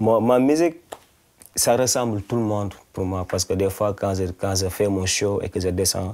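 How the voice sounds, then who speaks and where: A man's fairly low voice with a Senegalese accent, dark and mellow in tone, at a moderate pace with ordinary pitch variation. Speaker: singer-songwriter. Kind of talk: interview. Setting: studio-shop interview. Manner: halting, repeats words.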